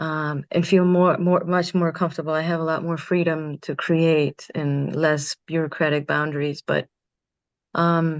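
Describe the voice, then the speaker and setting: Over a quiet background, a woman speaks fairly slowly at a fairly low pitch, her intonation monotone and flat. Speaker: community organizer and teacher. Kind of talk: candid panel conversation. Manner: loud.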